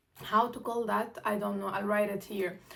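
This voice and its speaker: A woman speaks with a non-native accent at a fairly high pitch. Her pitch varies in an ordinary way. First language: not English or German. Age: 20s. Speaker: international student, vlogger. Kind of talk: casual chat. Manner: halting, many fillers and self-corrections.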